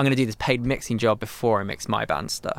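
A man speaks in a southern English accent at a moderate pace. His pitch sits in the medium range. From England, Milton Keynes. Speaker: studio owner and drummer. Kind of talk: casual interview chat.

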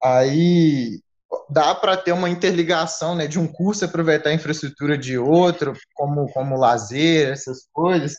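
A man's normal speaking voice, fairly high in pitch with ordinary pitch variation. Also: fairly slow pace. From Minas Gerais, Brazil (Zona da Mata). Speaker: agricultural engineering student. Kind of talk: casual chat.

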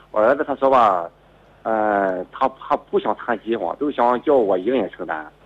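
The man's voice has a medium pitch. Lively intonation runs through it. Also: moderate pace. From Shandong, China. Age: 50s. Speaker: radio call-in caller. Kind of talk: call-in advice conversation. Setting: phone call. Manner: halting.

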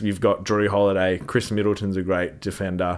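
This man has an Australian accent. His pitch is very deep and low. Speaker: sports podcast co-host. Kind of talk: casual sports chat. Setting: studio. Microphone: new microphone setup.

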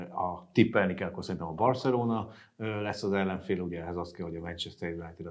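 This man speaks. His pace is very fast. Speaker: business journalist. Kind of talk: panel discussion.

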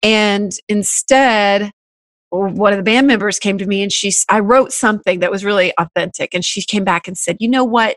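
A plain, everyday voice from a woman at medium pitch, with fairly even intonation and a moderate pace, dry and close with no echo over a quiet background. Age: 40s. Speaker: musician and radio host. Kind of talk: casual chat.

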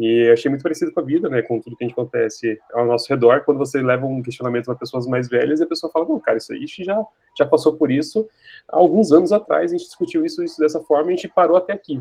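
Talking very fast, a man uses a fairly high pitch, a dark, mellow tone and lively intonation. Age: 30s. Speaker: book club member. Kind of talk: casual chat.

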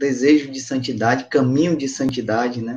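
A man speaks in a normal speaking voice at a fairly high pitch. His pace is moderate, and his intonation fairly even. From Brazilian Northeast, Patos, Paraíba. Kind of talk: religious testimony and teaching.

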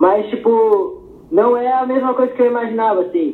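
Audible room echo and noticeable background noise around a man talking at a moderate pace. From Pelotas, Rio Grande do Sul, Brazil. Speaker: skateboarder. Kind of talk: casual interview.

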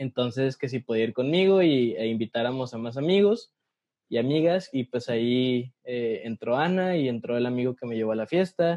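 Lively intonation and a moderate pace from a man at a medium pitch. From Mexico, Ciudad Juárez, Chihuahua. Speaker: podcast co-host, communications student. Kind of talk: casual chat. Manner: animated.

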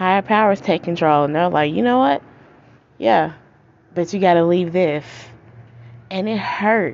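Her pitch is fairly low, with ordinary variation, and she talks at a moderate pace. This woman leaves long, frequent pauses. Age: 20s. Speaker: podcast host. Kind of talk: casual monologue. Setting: outdoors.

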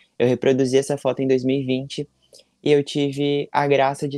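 A man with a fairly high pitch and a dark, mellow tone speaks in a monotone, flat intonation, in a dry, close sound with no echo. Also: very clean recording, silent background. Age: 20s. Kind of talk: interview.

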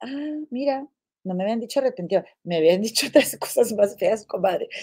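In an animated tone, a woman talks at a moderate pace on a very clean recording with a silent background. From Mexico, Monterrey. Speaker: gossip show host. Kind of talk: casual livestream chat. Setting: home livestream.

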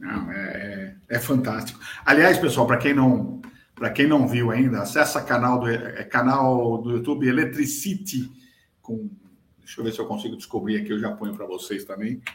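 Audible room echo surrounds a somewhat breathy man at medium pitch. He speaks at a moderate pace with lively intonation. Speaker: podcast host on electrical safety. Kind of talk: live-streamed casual chat. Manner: hesitant, many fillers.

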